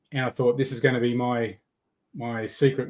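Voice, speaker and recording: A man speaks at a fairly quick pace with an Australian accent. His pitch is medium and his intonation is flat and monotone. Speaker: software developer and rod builder. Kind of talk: casual livestream chat. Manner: halting, repeats words.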